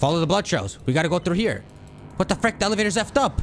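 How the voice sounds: Ordinary pitch movement in a natural reading voice.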